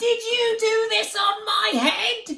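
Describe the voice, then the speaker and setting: The voice is a squeaky, put-on character voice at an extremely high pitch. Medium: read story.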